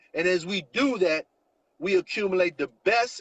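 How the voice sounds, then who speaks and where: Loud and animated, a man speaks with a high pitch at a fairly slow pace, in a dry, close sound with no echo. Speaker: network marketing promoter. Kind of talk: sales pitch. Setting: live stream.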